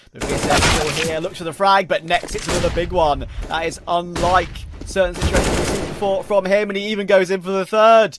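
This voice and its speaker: Clear background noise runs beneath somewhat brisk speech. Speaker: esports commentator. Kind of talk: live esports commentary. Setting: stream with game footage. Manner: fast, excitable play-by-play.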